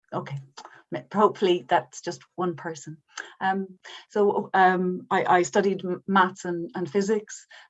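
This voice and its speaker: In an Irish accent, a woman with a medium pitch speaks at a fairly slow pace with fairly even intonation. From Ireland. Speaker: science policy manager. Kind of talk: panel talk. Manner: halting.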